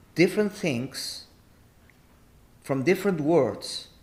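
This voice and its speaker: Speech comes at a very slow pace in an Argentine accent. Pitch variation is ordinary. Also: man. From Argentina. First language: Spanish. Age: 50s. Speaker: artist and entrepreneur. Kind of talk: podcast interview. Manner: animated.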